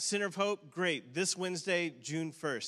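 A quiet background sits behind the voice. Its tone comes across bright and sharp. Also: man. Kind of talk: church announcements. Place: church. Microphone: handheld.

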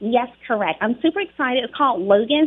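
Fairly quick speech with an American accent and lively intonation, amid noticeable background noise. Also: woman. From Charlotte, North Carolina. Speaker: actress and advocate. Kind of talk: radio interview.

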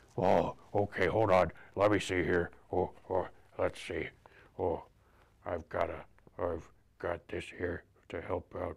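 Using a cartoonish character voice, a man speaks with very deep, low pitch. His pace is fairly slow, with long, frequent pauses. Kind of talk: children's storytime puppet voice. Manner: playful, gobbling, silly.

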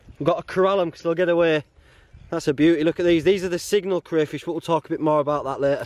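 At a fast pace, a man speaks with a fairly high pitch, a slightly mellow tone and fairly even intonation.

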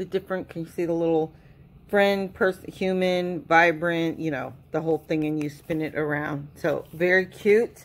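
With an ordinary speaking voice, a woman talks at a moderate pace, her pitch fairly low and her intonation fairly even. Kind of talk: casual haul unboxing chat.

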